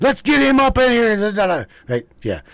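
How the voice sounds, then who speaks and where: Here a man speaks with an American accent at a moderate pace. His pitch is high. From West Virginia. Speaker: live stream host. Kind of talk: casual chat.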